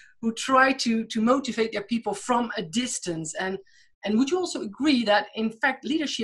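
Lively intonation from a woman with an ordinary speaking voice, fairly high in pitch, at a moderate pace. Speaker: podcast host. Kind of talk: interview.

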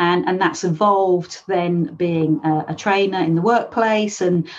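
With music in the background, a woman in a London accent talks at a fairly slow pace, her fairly low pitch showing ordinary variation. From London, England. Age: 50s. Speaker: life coach and author. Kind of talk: interview.

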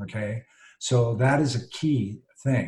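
A somewhat breathy male voice sits at a medium pitch. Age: 60s. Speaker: behavior coach and author. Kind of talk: interview. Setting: video call. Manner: animated.

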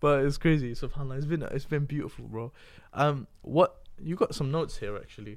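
This man has an unremarkable speaking voice, fairly high, with ordinary pitch variation at a fairly quick pace. The recording is very clean with a silent background. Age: 20s. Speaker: podcast host. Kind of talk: casual chat.

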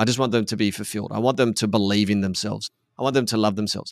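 Talking at a very fast pace, a man keeps his fairly low voice in a fairly even intonation. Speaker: podcast host and men's coach. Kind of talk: casual chat. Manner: subdued.

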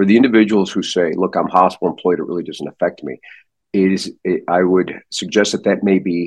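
A man's very deep, low voice with an American accent, fairly quick pace, and ordinary pitch variation. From US Midwest, St. Louis. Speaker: neurosurgeon. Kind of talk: interview. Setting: podcast.

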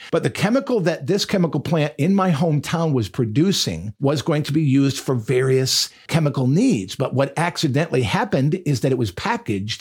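Somewhat breathy and fairly high in pitch, a man speaks with lively intonation in an American accent. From Michigan. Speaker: pastor. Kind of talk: podcast sermon monologue.

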